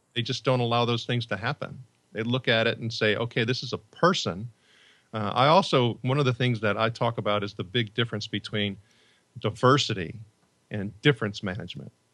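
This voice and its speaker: A man at medium pitch, talking at a fairly quick pace with a Chicago accent. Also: ordinary pitch variation, quiet background. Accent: Chicago-area American. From US Midwest, Northwest Indiana near Chicago. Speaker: leadership and employee engagement author. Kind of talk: podcast interview. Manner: halting, many repetitions and fillers.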